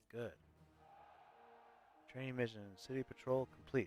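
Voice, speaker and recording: The sound here is dry and close, without echo. A man talks at a medium pitch. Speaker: video game streamer. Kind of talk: live gameplay commentary. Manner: loud.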